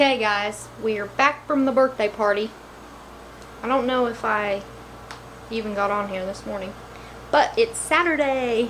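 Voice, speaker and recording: Over noticeable background noise, a woman speaks in a fairly high pitch with ordinary pitch variation and long, frequent pauses. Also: moderate pace. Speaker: family vlogger. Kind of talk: casual vlog chat. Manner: whispering; baby talk.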